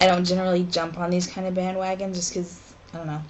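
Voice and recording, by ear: Speaking fast at a fairly low pitch, a woman shows little pitch movement.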